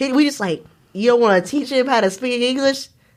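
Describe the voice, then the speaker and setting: A woman's animated, fairly quick speech in a Southern US accent. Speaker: podcast host. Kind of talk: casual chat.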